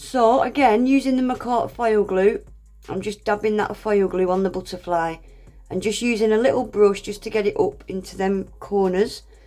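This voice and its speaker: Over music in the background, a woman at a medium pitch talks at a moderate pace with fairly even intonation and big swings in loudness. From Scottish, raised in Northern England. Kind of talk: nail art tutorial narration.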